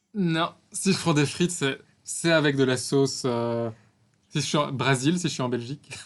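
This man has a normal speaking voice, fairly high in pitch, with ordinary pitch variation and a fairly slow pace. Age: 30s. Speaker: pastry podcast co-host. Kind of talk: casual chat.

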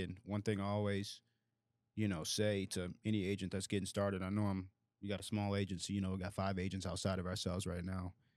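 Fairly quick, monotone speech from a man at a fairly low pitch, flat in intonation, on a very clean recording with a silent background. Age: 20s. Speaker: insurance agency owner. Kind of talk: casual chat.

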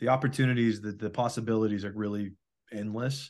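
A man speaks at a medium pitch and a fairly quick pace in an unremarkable speaking voice against a quiet background. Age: 20s. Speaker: podcast host. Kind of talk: casual chat.

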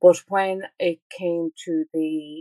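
A woman with an Irish accent and a dark, mellow tone. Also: dry, close sound with no echo. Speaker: author and parent. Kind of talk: interview.

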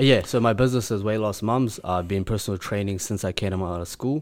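The recording is very clean, and the background is silent. In it, a man speaks very fast. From Chechnya. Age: 20s. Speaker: personal trainer. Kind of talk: casual chat.

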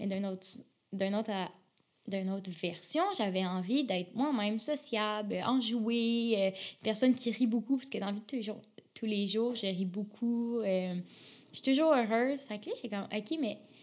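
A woman speaks at a moderate pace in an animated tone with a fairly high pitch. Her intonation is lively. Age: 20s. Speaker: university student. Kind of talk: casual interview.

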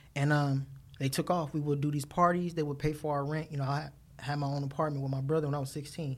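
A man's fairly high, somewhat breathy voice, monotone and flat, at a very fast pace. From Watts, Los Angeles, California. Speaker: DJ. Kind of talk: casual interview.

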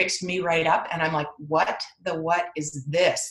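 With fairly even intonation and a fairly low pitch, a woman talks over noticeable background noise. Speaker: podcast guest, chiropractor. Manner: fast talker.

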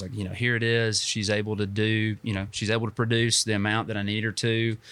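A man's fairly low, monotone voice with a Southern US accent and flat intonation, fairly quick in pace, on a very clean recording with a silent background. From US South, North Georgia (Dalton). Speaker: small business owner. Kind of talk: interview. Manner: frequent fillers (um, uh).

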